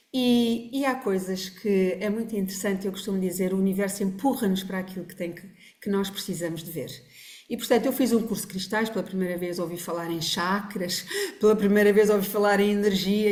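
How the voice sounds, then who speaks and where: A woman talks at a very fast pace and a medium pitch. Her intonation is fairly even, and the room echo is audible. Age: 60s. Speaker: family constellation therapist. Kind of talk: podcast interview. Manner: halting.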